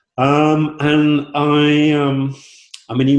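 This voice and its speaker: A man with a southern English accent. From southern England, Southampton. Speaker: football club co-owner. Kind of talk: interview. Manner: halting, many fillers.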